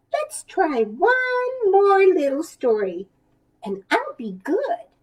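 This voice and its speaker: A woman's squeaky, put-on character voice, extremely high in pitch with very wide pitch swings, a gentle tone and a very slow pace. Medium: read story. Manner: patient, gentle.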